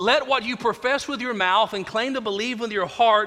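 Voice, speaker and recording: A man uses a raised, projected voice at an extremely high pitch. His pace is moderate and his intonation fairly even. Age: 40s. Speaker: pastor. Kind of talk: sermon. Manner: repetitive false starts.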